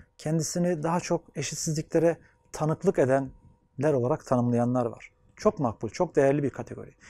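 Against a quiet background, a man with a fairly high pitch and a dark, mellow tone speaks at a moderate pace with ordinary pitch variation, the sound dry with no echo. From Anatolia, Turkey; Turkey. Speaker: sociologist and gerontology researcher. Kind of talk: interview monologue; interview answer. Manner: formal. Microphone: lapel.

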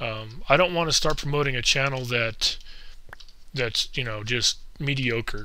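A man's bright, sharp, medium-pitched voice at a fairly slow pace, with fairly even intonation and audible room echo. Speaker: gaming YouTuber. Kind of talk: casual gameplay commentary. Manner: hesitant, many fillers.

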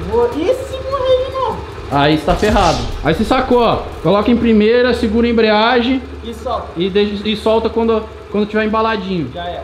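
A man at a moderate pace, with audible room echo and music in the background. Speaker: YouTuber. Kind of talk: casual vlog. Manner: animated.

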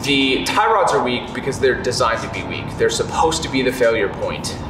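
Music runs in the background while a man talks fairly quickly. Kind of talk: walkaround explanation. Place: garage.

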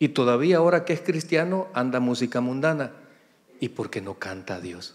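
A man's pitch swings very widely as he talks at a moderate speed. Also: medium pitch for a man. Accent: Salvadoran. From El Salvador, San Miguel; El Salvador. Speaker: pastor. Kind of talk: sermon. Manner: animated. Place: church. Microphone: handheld.

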